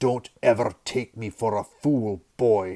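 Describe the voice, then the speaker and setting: In a put-on character voice, the speaker growls at a low pitch and a fairly slow pace. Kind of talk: gruff, threatening. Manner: angry snarl.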